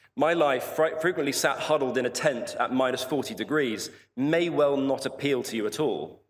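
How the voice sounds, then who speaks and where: A man speaks at a moderate pace in a southern English accent. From southern England, Portsmouth. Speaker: polar explorer. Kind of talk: commencement speech. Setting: stage with audience.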